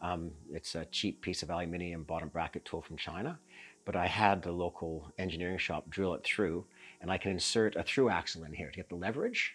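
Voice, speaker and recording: A man with a Canadian accent and a very deep, low pitch at a fairly quick pace, on a very clean recording with a silent background. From Canada. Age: 60s. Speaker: long-distance cyclist. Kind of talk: kit walkthrough chat. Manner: halting with frequent ums.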